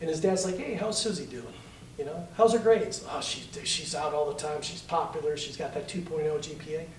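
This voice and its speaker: A man talks at a fairly quick pace in a high, animated voice with ordinary pitch variation. Audible room echo and noticeable background noise come through. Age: 50s. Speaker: political candidate. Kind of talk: political forum.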